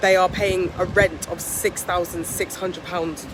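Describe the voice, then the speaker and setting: A woman with a British accent at a moderate pace, fairly low in pitch, with monotone, flat intonation and noticeable background noise. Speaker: vlogger and property entrepreneur. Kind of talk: vlog. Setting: outdoors at beach club.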